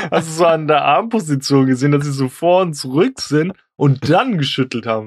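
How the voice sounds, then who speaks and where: A man talks at a moderate pace with an unremarkable speaking voice. His pitch is fairly high, with ordinary pitch variation. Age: 20s. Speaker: podcast co-host. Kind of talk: casual chat.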